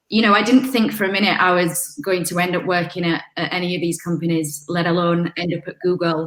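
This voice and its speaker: Talking at a fairly quick pace with hardly any pauses, a woman with a strong Yorkshire accent uses a fairly low voice and ordinary pitch variation. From Yorkshire, northern England. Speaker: communications manager, panel speaker. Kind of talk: panel talk.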